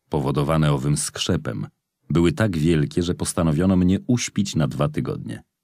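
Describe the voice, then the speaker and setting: Over music in the background, a man with a very deep, low pitch talks at a fairly slow pace. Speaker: audiobook narrator. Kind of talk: audiobook reading aloud of a memoir, first-person narrative.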